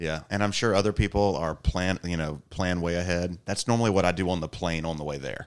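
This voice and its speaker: A man with a very deep, low pitch and a Southern US accent, fairly quick delivery, fairly even intonation, and hardly any pauses. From US South, Georgia. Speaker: pharmacy professor. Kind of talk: casual chat. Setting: convention center, in person.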